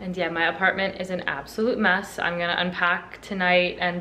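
Over light background noise, a woman with a fairly low pitch and a bright, sharp tone speaks at a moderate pace. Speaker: lifestyle vlogger. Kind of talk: casual vlog narration. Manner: chatty, uses many fillers. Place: home room. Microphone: phone near.

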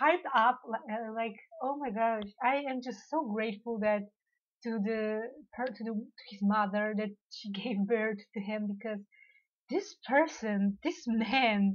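Fairly slow female speech with ordinary pitch variation. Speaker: reaction vlogger. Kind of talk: casual vlog chat. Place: home room. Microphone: webcam.

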